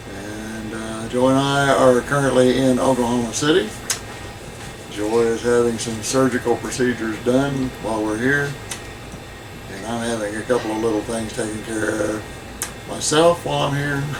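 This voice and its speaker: There is audible room echo and noticeable background noise. A man talks with ordinary pitch variation. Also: medium pitch for a man, moderate pace. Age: old. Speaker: Bible study co-host. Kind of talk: casual chat. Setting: motorhome.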